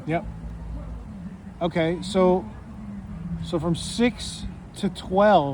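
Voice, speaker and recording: High-pitched male speech against noticeable background noise. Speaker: interviewer. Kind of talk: casual interview questions.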